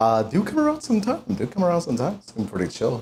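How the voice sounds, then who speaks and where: Loud and animated, a man talks at a very fast pace. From Latin America. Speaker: VTuber streamer and voice actor. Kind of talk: live stream cooking chat.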